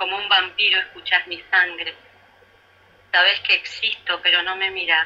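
A woman with a Rioplatense accent speaks at a moderate pace and a medium pitch. Her intonation is monotone and flat, broken by long, frequent pauses. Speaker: radio co-host. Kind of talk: radio interview. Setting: radio, remote.

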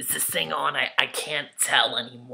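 The tone is animated, at a fairly slow pace. Light background noise is present. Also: man. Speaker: comedic character vlogger. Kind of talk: comedy character monologue. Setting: video message recorded to camera. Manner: guilt-tripping, chatty, rambling. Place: home room. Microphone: webcam.

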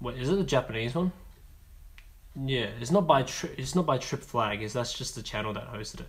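A man talks at a fairly quick pace, somewhat breathy. His loudness swings widely. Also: medium pitch for a man, lively intonation. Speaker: pianist and piano teacher. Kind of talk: livestream chat. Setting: livestream. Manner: halting.

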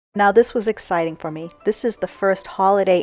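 Over music in the background, a woman's voice sounds dry and close with no echo. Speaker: home and garden vlogger. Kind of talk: casual voice-over narration.

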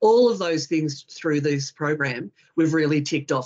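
This woman has an Australian accent and a very deep, low pitch. Her intonation is lively. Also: quiet background. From Western Australia. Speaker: forestry industry representative. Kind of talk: webinar presentation. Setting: video call. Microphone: video call.

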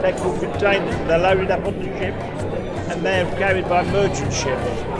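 Loud background music under a man speaking at a moderate pace. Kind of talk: interview answer. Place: hall. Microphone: phone near.

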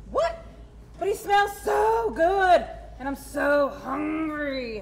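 In a put-on character voice, the speaker drawls at a very slow pace with a high pitch, and clear background noise can be heard. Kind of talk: comic overacting. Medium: puppet show. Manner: slow, drawling surfer-dude slang.

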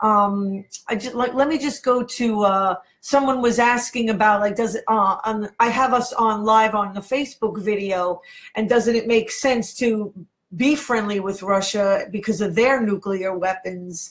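Against a quiet background, a woman speaks at a fairly slow pace in a fairly high, somewhat breathy voice. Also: ordinary pitch variation. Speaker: internet radio host. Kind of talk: casual interview. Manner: animated. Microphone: webcam.

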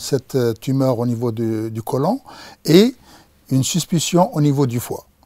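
Over a quiet background, a man speaks at a very slow pace in a dark, mellow tone, the sound dry with no echo. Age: 60s. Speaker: patient. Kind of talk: patient testimony. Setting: studio. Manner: halting, many hesitations. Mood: calm, reflective about illness. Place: studio. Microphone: lapel.

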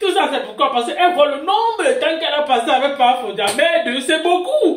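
Light background noise mixes with audible room echo. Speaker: gossip channel host. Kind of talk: gossip news commentary. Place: home room. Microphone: phone near.

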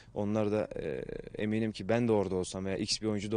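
A man's fairly low voice at a very fast pace, fairly even in intonation, dry with no echo. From Turkey. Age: 20s. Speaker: professional footballer. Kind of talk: interview. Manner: hesitant with many fillers. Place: stadium.

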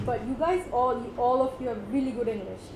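A woman speaks with a Bengali accent. The recording has audible room echo and light background noise. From Bangladesh. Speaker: workshop facilitator. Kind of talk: workshop talk. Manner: casual, mixes Bengali and English. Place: meeting room. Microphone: camera far.

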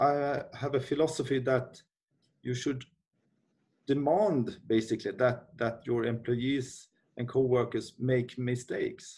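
Speaking with a Swedish accent, a man uses a dark, mellow, somewhat breathy tone at a fairly slow pace, his intonation fairly even. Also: quiet background. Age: 40s. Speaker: company CEO. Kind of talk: interview. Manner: halting. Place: office. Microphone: webcam.

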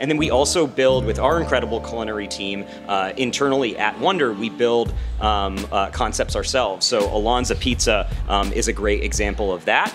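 A man talks at a fairly quick clip. Clear music plays behind him. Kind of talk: interview answer. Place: hall. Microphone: handheld.

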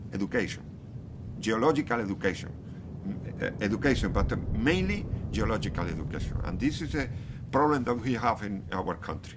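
Over noticeable background noise, a man with a Spanish accent talks at a fairly quick pace with lively intonation and long, frequent pauses. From Canary Islands, Spain. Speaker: geology professor. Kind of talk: interview. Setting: outdoors near active volcano. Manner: halting, many repetitions and fillers. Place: street.

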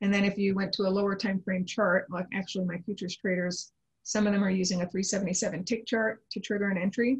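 Against a quiet background, a woman speaks at a fairly quick pace in a somewhat breathy voice with fairly even intonation. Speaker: trading analyst. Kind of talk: interview. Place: home room. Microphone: video call.

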